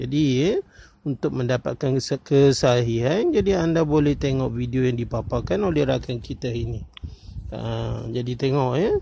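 Somewhat breathy and dark, mellow in tone, a man talks with ordinary pitch variation. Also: medium pitch for a man, moderate pace. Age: 40s. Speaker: coin collecting YouTuber. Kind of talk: casual vlog commentary. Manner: many fillers and hesitations.

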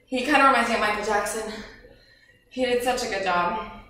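In a room with audible echo, a woman speaks at a moderate pace with ordinary pitch variation. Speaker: home fitness instructor. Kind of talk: workout instruction and casual chat. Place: home room. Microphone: camera far.

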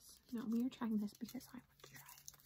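A soft-spoken woman talks at a fairly quick pace, with big swings in loudness. Light background noise is present. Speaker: candy reviewer. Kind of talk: casual vlog chat. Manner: soft, quiet ASMR-style voice. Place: home room.

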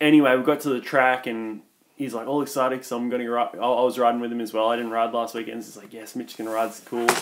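Very fast and flat in intonation, a man with an Australian accent speaks at a medium pitch with big swings in loudness. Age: 20s. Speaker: comedy podcast co-host. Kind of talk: casual chat.

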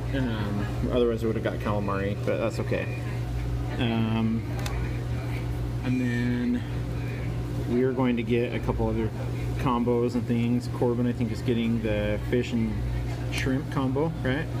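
A man talks at a moderate pace with long, frequent pauses. Noticeable background noise runs underneath. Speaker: food vlogger. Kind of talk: casual vlog chat. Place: cafe. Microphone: phone near.

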